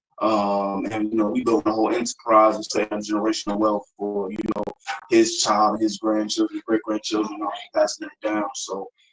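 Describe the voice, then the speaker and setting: With music playing behind him, a man speaks in a monotone, flat voice with a dry, close sound and no echo. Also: fairly low pitch for a man, moderate pace. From US, East Baltimore. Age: 20s. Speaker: rapper. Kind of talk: casual interview. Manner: frequent fillers, um and you know.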